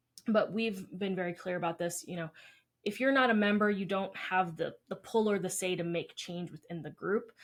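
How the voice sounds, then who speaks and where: A woman speaks at a moderate pace with a medium pitch and ordinary pitch variation. She has a plain, everyday voice. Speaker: dietitian podcast co-host. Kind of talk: casual chat.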